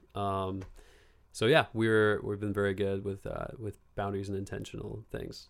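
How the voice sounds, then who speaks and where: With a West Coast accent, a man speaks at a moderate pace in a fairly low, monotone, flat voice. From Bend, Oregon. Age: 20s. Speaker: actor and model. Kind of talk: casual chat.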